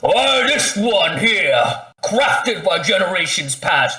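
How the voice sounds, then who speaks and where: A man puts on a high-pitched character voice. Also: fairly slow pace. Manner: salesmanlike, boastful.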